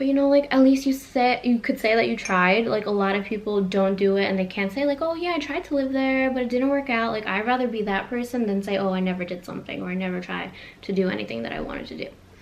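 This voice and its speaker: A woman with an American accent talks at a very fast pace with hardly any pauses, her fairly high voice showing ordinary pitch variation over noticeable background noise. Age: 20s. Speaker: vlogger. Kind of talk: casual vlog monologue. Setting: home living room.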